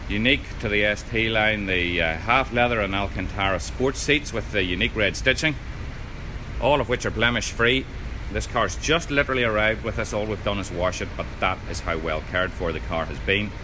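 A man with a fairly low pitch at a fairly quick pace, amid noticeable background noise. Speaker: car salesman. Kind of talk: sales walkaround commentary. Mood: upbeat persuasive. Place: shop. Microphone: phone near.

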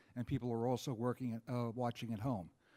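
A man with an American accent rushes through his words at a very fast pace. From New York, Rockland County. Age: 70s. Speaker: political candidate. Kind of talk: debate opening statement. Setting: town hall with audience.

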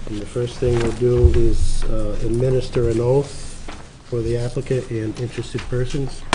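A man speaks at a moderate pace with fairly even intonation. Noticeable background noise runs underneath. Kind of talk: meeting procedure talk. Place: meeting room. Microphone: podium.

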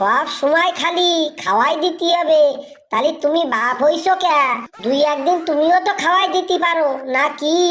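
Over faint music in the background, a woman performs a cartoonish character voice at an extremely high pitch and a moderate pace. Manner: combative, fast retorts.

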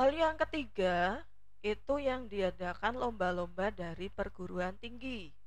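Audible room echo surrounds a woman who talks at a fairly slow pace with vocal fry and lively intonation. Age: 40s. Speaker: teacher, academic competition coach. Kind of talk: informative talk to students.

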